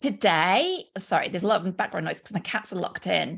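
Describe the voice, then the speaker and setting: Speaking in a British accent, a woman talks at a very fast pace with an animated tone. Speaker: business coach. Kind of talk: live online training.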